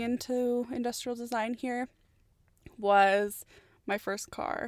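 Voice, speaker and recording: A woman with a Canadian accent speaks at a very slow pace and a high pitch, with ordinary pitch variation. The sound is dry and close with no echo. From Canada, Edmonton, Alberta. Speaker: industrial designer, podcast co-host. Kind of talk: casual chat.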